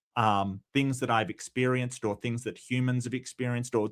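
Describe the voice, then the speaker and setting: Speaking at a fairly quick pace with fairly even intonation, a man with a medium-pitched voice is heard on a very clean recording with a silent background. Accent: Australian. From Australia. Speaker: atheist philosophy commentator. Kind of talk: casual chat. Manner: halting.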